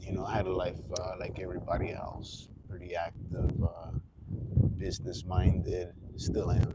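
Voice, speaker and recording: With noticeable background noise and audible room echo, a man speaks at a moderate pace in a very deep, low pitch, his intonation fairly even and broken by long, frequent pauses. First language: Spanish. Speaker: livestreamer. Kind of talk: casual livestream monologue. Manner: halting.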